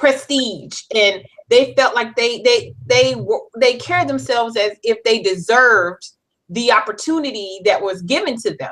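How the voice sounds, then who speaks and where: Vocal fry and lively intonation mark this fairly slow delivery in a slight Southern US accent. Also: woman, fairly high pitch for a woman. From US South, South Carolina (Florence). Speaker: life coach. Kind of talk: interview.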